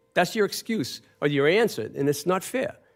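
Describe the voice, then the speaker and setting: Music plays in the background as a man talks at a moderate pace. His pitch swings very widely. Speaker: public commenter at county meeting. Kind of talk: public comment at budget hearing. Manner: animated.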